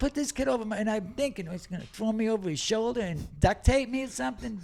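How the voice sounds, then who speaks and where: Talking very fast with lively intonation, a man with a Boston accent speaks in a high pitch. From Massachusetts, Lawrence (Boston area). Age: 70s. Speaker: comedian. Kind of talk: casual chat. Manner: animated.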